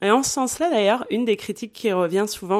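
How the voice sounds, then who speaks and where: In a very clean recording with a silent background, a woman speaks at a fairly quick pace. Her pitch variation is ordinary. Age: 30s. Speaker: podcast guest, polyamory advocate. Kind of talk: casual interview.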